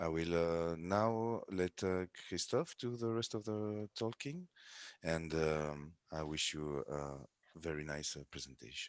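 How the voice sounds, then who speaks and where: A man with a very deep, low voice speaks at a very slow pace with lively intonation. The sound is dry and close, with no echo. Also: quiet background. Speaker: company founder. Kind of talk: business presentation.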